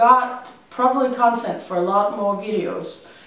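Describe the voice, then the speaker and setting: A woman's high voice at a fairly slow pace, with ordinary pitch variation, audible room echo and noticeable background noise. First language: Danish. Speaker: vlogger. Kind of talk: casual vlog monologue. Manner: hesitant, many ums.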